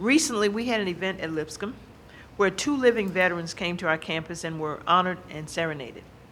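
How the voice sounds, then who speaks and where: Very fast speech from a woman at medium pitch, with an American accent, lively intonation and audible room echo. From US South. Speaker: university administrator and speaker. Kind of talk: lecture. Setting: stage with audience.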